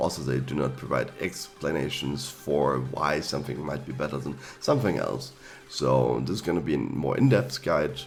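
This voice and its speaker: The man's intonation is lively and his speed moderate, with room echo audible and background noise noticeable. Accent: German. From Germany. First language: German. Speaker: gaming YouTuber. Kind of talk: tutorial. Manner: hesitant, with fillers.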